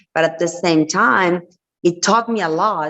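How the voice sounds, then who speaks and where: With a Spanish accent, a woman speaks at a moderate pace in a fairly low pitch. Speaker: entrepreneur and reality TV personality. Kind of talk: interview.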